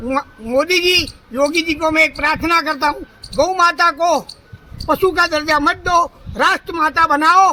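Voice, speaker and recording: A man speaks in a raised, projected voice at an extremely high pitch. His intonation is fairly even, with noticeable background noise behind him. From Rajasthan, Jalore district. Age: 60s. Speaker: pilgrim cyclist. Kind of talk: street interview.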